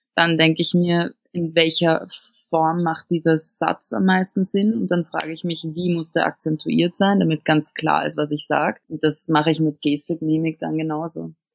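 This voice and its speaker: In a plain, everyday voice, the speaker goes at a moderate pace with fairly even intonation and a dry, close sound with no echo. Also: woman, fairly low pitch for a woman. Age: 20s. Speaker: cabaret artist and actress. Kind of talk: interview.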